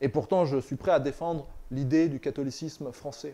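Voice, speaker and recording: With fairly even intonation, a man talks in a dark, mellow tone. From France. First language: northern European language (speaking French). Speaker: political commentator, author. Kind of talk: political monologue. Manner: halting, with repetitions.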